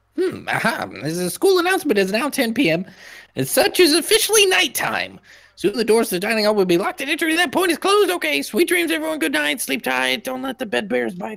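Putting on a character voice, a man speaks at an extremely high pitch. He moves at a fairly quick pace with very wide pitch swings. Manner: cheerful, mock sweet.

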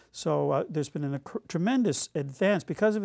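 Against a quiet background, a man speaks in a dark, mellow tone. His pace is fairly quick and his pitch varies in an ordinary way. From Nova Scotia, Canada. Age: 60s. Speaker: academic speaker; speaker. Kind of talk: lecture. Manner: halting, many fillers. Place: studio.

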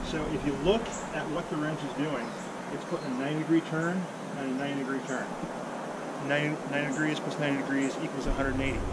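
Loud background noise accompanies a man speaking at a moderate pace. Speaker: tree climbing instructor. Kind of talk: tutorial. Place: garden.

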